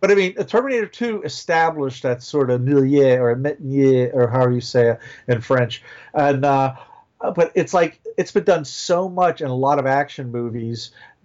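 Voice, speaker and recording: A man with a fairly high pitch and ordinary pitch variation keeps a moderate pace in a plain, everyday voice. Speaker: comic book inker and novelist. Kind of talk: casual chat.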